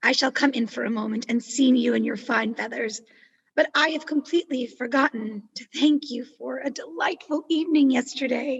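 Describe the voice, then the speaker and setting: A woman's raspy, put-on character voice, high-pitched, at a moderate pace. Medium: audio drama. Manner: calm, direct.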